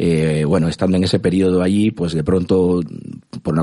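Noticeable background noise fills the recording. The talking keeps a moderate pace. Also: man. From Cuba. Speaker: music industry executive. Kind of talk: interview. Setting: studio. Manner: halting, many repetitions.

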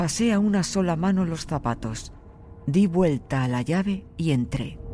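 This man talks at a fairly slow pace in a normal speaking voice, his pitch fairly high. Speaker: audiobook narrator. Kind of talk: horror story narration, first-person diary, read aloud. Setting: studio. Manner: slow, hushed, suspenseful, creeping dread; measured, deliberate pacing with ominous pauses.

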